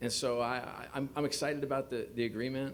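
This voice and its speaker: A man talks at a moderate speed, and the room echo is audible. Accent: New York. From US, New York. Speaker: sports league executive. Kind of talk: press conference. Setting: press conference podium.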